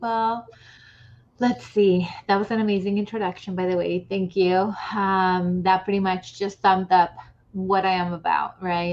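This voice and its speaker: At a fairly slow pace, a woman in a Spanish accent speaks at medium pitch with monotone, flat intonation. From Latin America. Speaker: author. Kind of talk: interview.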